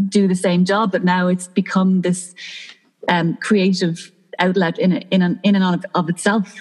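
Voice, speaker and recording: A woman with a Dublin accent, medium pitch and monotone, flat intonation, at a moderate pace. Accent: Dublin Irish. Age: 30s. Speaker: lighting designer. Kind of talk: casual chat.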